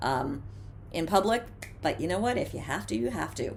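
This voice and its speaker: The speaker has an American accent and vocal fry and talks at a fairly quick pace. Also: woman. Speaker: former radio DJ, TV host and mindfulness coach. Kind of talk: instructional mindfulness talk to camera. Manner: casual, conversational, humorous.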